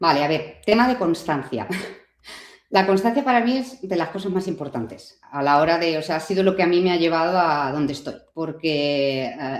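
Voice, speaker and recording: Lively intonation marks a plain, everyday voice that keeps to a moderate pace. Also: woman, fairly low pitch for a woman. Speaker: online music teacher, YouTuber. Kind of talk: interview.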